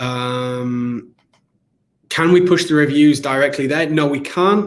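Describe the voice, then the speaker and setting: A man with a British accent. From England. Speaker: company CEO presenting webinar. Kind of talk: live webinar product demo with Q&A. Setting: live online broadcast. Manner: casual, hesitant with fillers.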